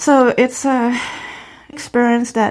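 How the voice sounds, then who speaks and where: A woman speaks with a Khmer accent. The recording is very clean, with a silent background. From Cambodia. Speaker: author and genocide survivor. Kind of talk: interview.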